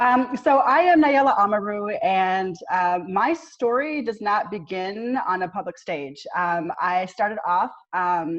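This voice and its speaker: A woman at a fairly slow pace, with hardly any pauses and very wide pitch swings. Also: medium pitch for a woman. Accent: slight Southern US. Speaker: army veteran and consultant. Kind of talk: panel discussion.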